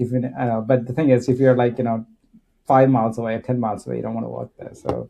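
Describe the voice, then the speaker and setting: A man's dark, mellow tone at a very fast pace with fairly even intonation. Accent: Kannada. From India. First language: Kannada. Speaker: tech executive. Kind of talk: casual chat. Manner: halting.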